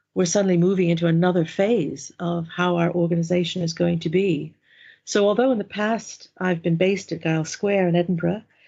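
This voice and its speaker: With an American accent, a woman with fairly low pitch speaks at a fairly quick pace. Her intonation is fairly even. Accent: American, coming through. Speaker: mindfulness instructor and organisational development adviser. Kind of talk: interview. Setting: working from home.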